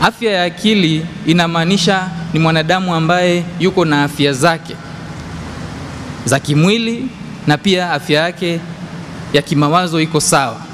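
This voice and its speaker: Over light background noise, a man speaks with a high pitch and ordinary pitch variation. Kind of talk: lecture. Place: church.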